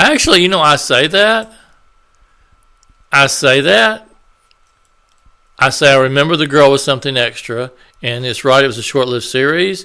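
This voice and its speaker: Mumbling with long, frequent pauses, a man uses lively intonation in a fairly high voice with a bright, sharp tone. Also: moderate pace. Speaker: YouTuber. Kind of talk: casual vlog commentary. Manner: halting, hesitant.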